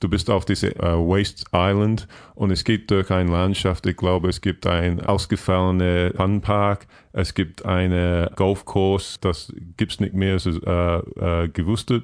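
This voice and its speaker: A man's very deep, low voice in an English accent, very slow and monotone with flat intonation, very even in loudness against a quiet background. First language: English (speaking German). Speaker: podcast listener and guest. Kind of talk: casual chat. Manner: halting.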